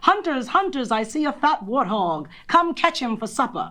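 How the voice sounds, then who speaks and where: A loud, gruff, female-sounding put-on character voice, high-pitched and shouting, with very wide pitch swings at a moderate pace. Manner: loud, shouting.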